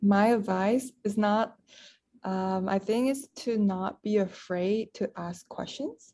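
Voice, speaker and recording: Speaking very slowly with a Malaysian accent, a woman has a dark, mellow tone, medium pitch and fairly even intonation. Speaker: podcast co-host, university student. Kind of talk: casual chat.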